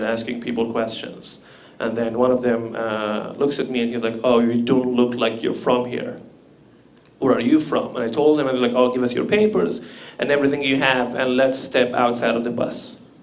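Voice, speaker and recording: A man with a Libyan accent speaks at a moderate pace and medium pitch. His intonation is monotone and flat, with audible room echo. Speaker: comedian. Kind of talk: stand-up.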